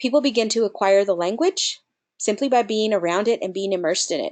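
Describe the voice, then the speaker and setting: At a fairly quick pace, a woman with a Spanish accent speaks at a medium pitch with lively intonation against a quiet background. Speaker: nonprofit program director. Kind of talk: webinar presentation.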